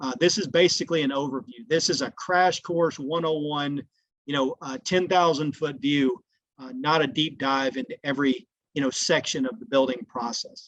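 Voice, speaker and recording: A man with an unremarkable speaking voice talks at a moderate pace and fairly high pitch, with ordinary pitch variation against a quiet background. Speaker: log home company sales executive. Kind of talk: webinar presentation.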